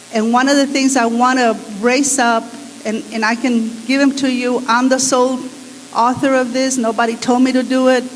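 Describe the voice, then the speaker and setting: A woman's high, flat, monotone voice at a moderate pace, with audible room echo and noticeable background noise. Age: 60s. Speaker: attorney speaking at a public meeting. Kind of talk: public comment at a community forum.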